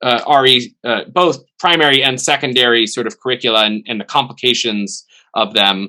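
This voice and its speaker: This is a man with a medium-pitched voice. He talks at a moderate pace with ordinary pitch variation. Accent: American. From United States. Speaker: theology professor. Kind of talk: webinar discussion. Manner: halting.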